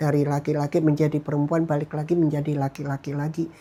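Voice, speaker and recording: At a fairly quick pace, a man with a fairly high pitch and a dark, mellow tone speaks in a monotone, flat intonation. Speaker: minister giving testimony. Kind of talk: testimony.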